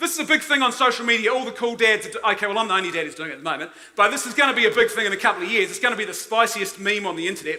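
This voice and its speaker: Talking very fast with hardly any pauses, a man with a New Zealand accent projects a raised, high voice in an animated tone and lively intonation, with audible room echo and noticeable background noise. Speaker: conference speaker. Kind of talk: conference talk.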